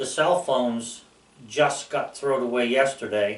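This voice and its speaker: A man at a fairly slow pace and medium pitch, with fairly even intonation. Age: 60s. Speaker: YouTuber. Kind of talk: casual monologue. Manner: rambling, hesitant with fillers.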